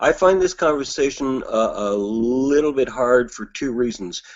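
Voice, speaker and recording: The speaker has a Canadian accent and lively intonation. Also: man. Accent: Canadian, evident. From Canada. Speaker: discussion participant. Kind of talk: casual discussion. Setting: video call.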